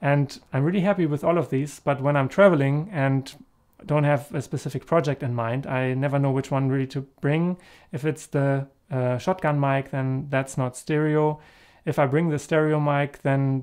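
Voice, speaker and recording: At a moderate pace, a man speaks with fairly even intonation against a quiet background. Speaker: camera gear reviewer. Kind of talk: review talk to camera. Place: home room. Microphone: camera far.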